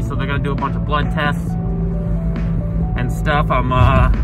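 Over loud music in the background, a man speaks at a fairly quick pace, the sound dry with no echo. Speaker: vlogger. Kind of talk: casual vlog chat. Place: car. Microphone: phone near.

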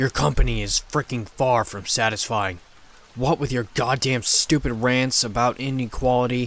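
A man does a growling, hissing put-on character voice at a medium pitch. His pace is moderate. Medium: read story. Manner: roaring, growling, seething, contemptuous.

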